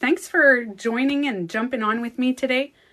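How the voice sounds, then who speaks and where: A woman talks fairly slowly, and her pitch varies in an ordinary way. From Quebec. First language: French. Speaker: beauty coach and livestreamer. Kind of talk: casual livestream chat.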